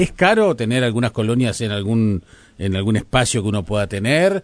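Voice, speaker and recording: A man talks at a moderate pace in a plain, everyday voice with lively intonation. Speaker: radio host. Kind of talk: radio interview.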